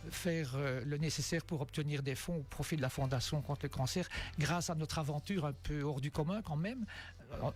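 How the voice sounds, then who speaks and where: On a very clean recording with a silent background, a man speaks at a fairly quick pace. His fairly high voice is somewhat breathy and shows ordinary pitch variation. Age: 60s. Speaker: amateur cyclist, charity fundraiser. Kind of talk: radio interview. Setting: radio studio.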